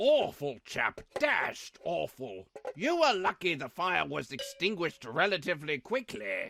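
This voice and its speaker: A cartoonish character voice at a middle pitch, with hardly any pauses. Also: moderate pace. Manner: proper, old-fashioned phrasing.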